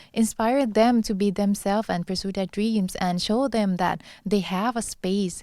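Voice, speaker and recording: A voice with a Thai accent and a dark, mellow tone moves at a moderate pace with fairly even intonation. The recording is very clean, the background silent. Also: woman, medium pitch for a woman. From Thailand. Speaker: beauty pageant contestant. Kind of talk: interview.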